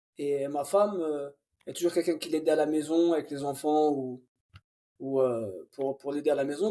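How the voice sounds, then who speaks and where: Speaking at an even, moderate speed, this man has an ordinary speaking voice pitched fairly high. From Paris region, France. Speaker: professional footballer. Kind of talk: interview. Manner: casual.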